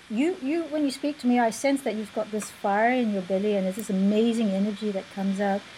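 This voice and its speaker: A woman speaks at a very fast pace with hardly any pauses, her fairly high, somewhat breathy voice carrying a dark, mellow tone and ordinary pitch variation. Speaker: interviewer host of coaching show. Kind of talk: interview, energetic intro. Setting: live video/online broadcast.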